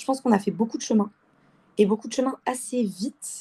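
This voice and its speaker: On a very clean recording with a silent background, a woman speaks with a dark, mellow tone at a fairly high pitch and fairly even intonation. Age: 20s. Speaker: engineering student. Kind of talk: interview.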